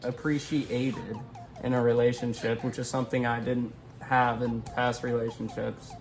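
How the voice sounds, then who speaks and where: Music plays in the background as the speech goes at a moderate pace with monotone, flat intonation. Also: man, medium pitch for a man. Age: 20s. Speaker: YouTuber. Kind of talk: casual chat.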